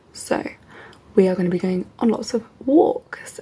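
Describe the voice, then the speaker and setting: Noticeable background noise runs behind this woman's voice. Her intonation is lively. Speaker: PhD student vlogger. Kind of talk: vlog. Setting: at home.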